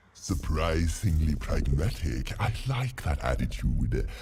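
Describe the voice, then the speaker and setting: Putting on a character voice, a man speaks at a fairly slow pace with very deep, low pitch and very wide pitch swings. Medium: video game. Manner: pompous, theatrical.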